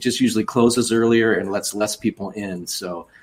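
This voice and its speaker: In a Chicago accent, a man speaks in a flat monotone at a fairly low pitch. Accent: northern US (Chicago area). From US Midwest, outside Chicago. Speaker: children's book author and songwriter. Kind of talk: interview conversation.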